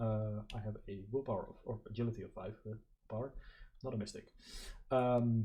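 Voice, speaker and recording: A man's somewhat breathy, dark and mellow voice at medium pitch, with a non-native accent, flat monotone delivery, a moderate pace and long, frequent pauses. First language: not English. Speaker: board game player and video creator. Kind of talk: gameplay commentary. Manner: hesitant, many fillers.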